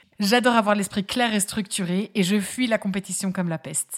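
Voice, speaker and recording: A woman's ordinary speaking voice, medium in pitch, with ordinary pitch variation and a fairly quick pace. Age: 30s. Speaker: podcast host, lawyer and fabric craft maker. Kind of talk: solo podcast monologue, casual and friendly. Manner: upbeat, warm.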